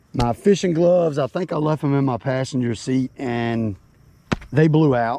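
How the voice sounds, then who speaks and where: Someone speaks at a fairly slow pace with lively intonation over noticeable background noise. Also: man. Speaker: fishing video creator. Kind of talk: casual fishing vlog narration. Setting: outdoors on a boat on a lake.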